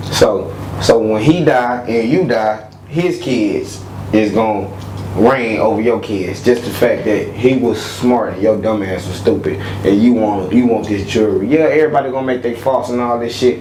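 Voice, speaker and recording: With noticeable background noise and audible room echo, a man of medium pitch talks in an animated tone at a moderate pace with ordinary pitch variation. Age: 20s. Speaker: entrepreneur. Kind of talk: casual chat.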